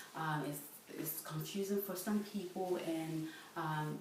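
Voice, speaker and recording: Amid noticeable background noise and audible room echo, a woman with a very deep, low pitch speaks fairly slowly with fairly even intonation. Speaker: student presenter. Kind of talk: lecture. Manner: halting, many fillers.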